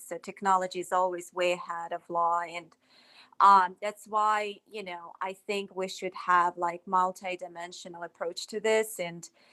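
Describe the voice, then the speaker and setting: With a non-native accent, a woman talks at a moderate pace in a bright, sharp tone and medium pitch, the sound dry and close with no echo. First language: not English. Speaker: self-taught cybersecurity panelist. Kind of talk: casual panel discussion.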